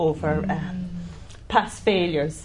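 In an Irish accent, a woman with a very deep, low pitch speaks at a fairly slow pace with ordinary pitch variation. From Ireland. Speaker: church member. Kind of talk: testimony. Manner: halting.

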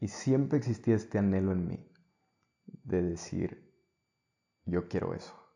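A man speaks fairly slowly with long, frequent pauses. His fairly low voice has a dark, mellow tone and ordinary pitch variation. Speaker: actor. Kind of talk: casual chat.

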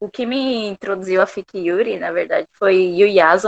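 The sound is dry and close, with no echo. A woman speaks in a normal speaking voice at a moderate pace, her intonation lively. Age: 20s. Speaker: fan fiction writer. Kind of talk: interview.

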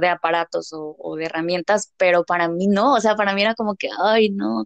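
A woman talks in a normal speaking voice at medium pitch with ordinary pitch variation. Her pace is fairly quick, and the sound is dry and close with no echo. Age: 20s. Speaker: business administration graduate, small business owner. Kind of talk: casual chat.

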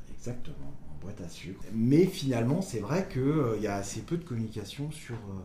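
A man's dark, mellow voice with vocal fry, at a moderate pace, with audible room echo. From Brittany, Côtes d'Armor. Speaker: lighthouse enthusiast on social media. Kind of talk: casual interview. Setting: indoors, lighthouse kitchen. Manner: halting.

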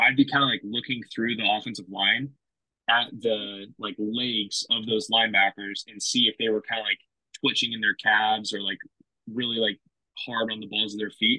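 A man speaks with an American accent at a medium pitch. His pace is moderate and his intonation monotone and flat. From California, Fresno. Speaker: former college football player. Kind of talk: casual interview chat.

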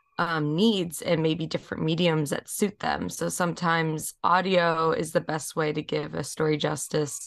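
With vocal fry, a woman speaks at a moderate pace in a very deep, low pitch and fairly even intonation. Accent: American. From New York, Rockland County. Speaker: multimedia artist and harpist. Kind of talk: interview.

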